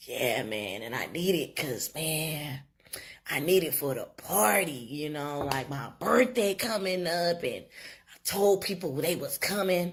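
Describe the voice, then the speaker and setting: In a put-on character voice, a woman speaks fairly slowly and fairly low, raspy, with very wide pitch swings and big swings in loudness. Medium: voice reel. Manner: casual, trying to sound smooth.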